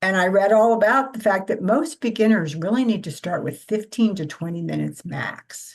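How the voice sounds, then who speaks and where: A woman's voice with vocal fry. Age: 70s. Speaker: women's circle participant. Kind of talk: casual sharing in a support circle.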